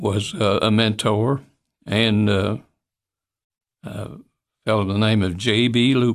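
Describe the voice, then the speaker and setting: A man with a Tennessee accent talks at a fairly slow pace, with long, frequent pauses. His pitch is fairly low and his intonation fairly even. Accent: Southern US (Tennessee). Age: 80s+. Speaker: retired physician. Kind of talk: interview. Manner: halting.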